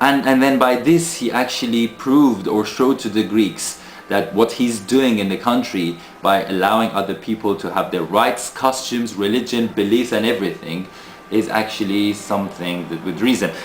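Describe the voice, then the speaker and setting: Noticeable background noise sits behind a man speaking at a medium pitch. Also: ordinary pitch variation, moderate pace. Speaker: video blogger. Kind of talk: casual video monologue. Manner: halting, many fillers.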